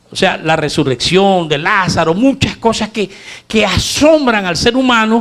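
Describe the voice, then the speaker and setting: A man's high-pitched voice with lively intonation. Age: 60s. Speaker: preacher. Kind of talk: sermon.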